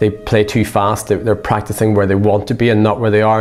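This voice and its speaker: Music plays in the background. A man speaks with an Irish accent. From Ireland. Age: 50s. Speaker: saxophone professor. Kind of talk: interview.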